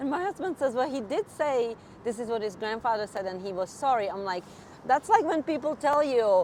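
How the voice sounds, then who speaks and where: Noticeable background noise sits behind the recording. A woman with a Czech accent speaks in a high pitch that swings very widely. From Czech Republic. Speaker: nurse practitioner. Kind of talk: interview.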